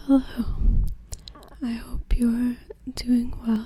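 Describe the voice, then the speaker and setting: A soft-spoken woman, high-pitched, flat and monotone, over noticeable background noise. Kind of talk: casual talk to camera.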